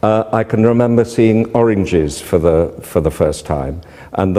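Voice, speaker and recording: A man speaks with a British accent and lively intonation. His pitch is fairly low, with noticeable background noise. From Britain. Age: 60s. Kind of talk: interview.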